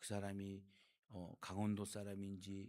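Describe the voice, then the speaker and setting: A man speaks with an unremarkable speaking voice at a fairly low pitch. His pace is moderate. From Gangwon Province, Korea (Jeongseon). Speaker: pastor. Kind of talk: sermon. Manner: call-and-response questions to congregation.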